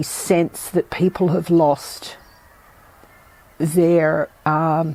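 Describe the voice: A woman speaks at a very slow pace, her pitch fairly low. Her tone is dark and mellow, with fairly even intonation.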